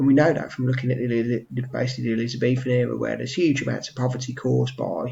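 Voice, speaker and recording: Quietly, a man talks at a very fast pace. He has an English accent. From England. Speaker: history teacher. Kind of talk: revision tutorial. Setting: at home. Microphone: webcam.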